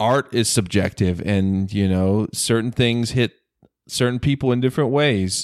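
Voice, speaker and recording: A normal speaking voice from a man with an American accent, medium in pitch with ordinary pitch variation, at a moderate pace and very even loudness, the sound dry and close on a very clean recording with a silent background. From US South, North Carolina. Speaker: film podcaster. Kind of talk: casual chat.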